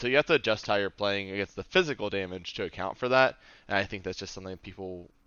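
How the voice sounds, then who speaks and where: Speaking at a very fast pace, a man with a fairly low pitch shows ordinary pitch variation. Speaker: card game player. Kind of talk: casual chat.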